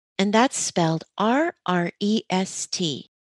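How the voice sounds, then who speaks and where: The sound is dry and close with no echo, in a very clean recording with a silent background. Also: woman. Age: 60s. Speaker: podcast host. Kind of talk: interview; scripted intro.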